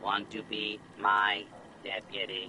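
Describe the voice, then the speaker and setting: A man puts on a character voice while clear background noise is heard. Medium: video game. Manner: folksy cowboy drawl, then mechanical.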